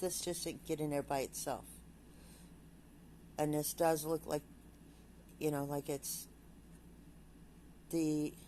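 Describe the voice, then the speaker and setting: A woman's very deep, low voice, monotone and flat, at a fairly slow pace. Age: 60s. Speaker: vlogger. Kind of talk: casual vlog monologue. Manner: halting.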